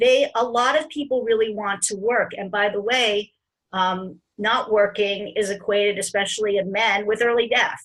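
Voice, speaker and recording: A woman speaks at a moderate pace in an ordinary speaking voice. Her pitch is fairly high, with ordinary pitch variation. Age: 50s. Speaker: interview show host. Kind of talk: casual interview chat.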